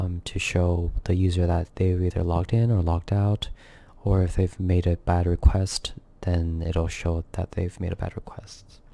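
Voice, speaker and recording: This quiet, somewhat breathy voice has a dark, mellow tone and monotone, flat intonation on a very clean recording with a silent background. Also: man, very deep, low pitch for a man, moderate pace. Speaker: software developer vlogger. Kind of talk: coding tutorial walkthrough. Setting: home recording at night. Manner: quiet, kept down; subdued, solemn.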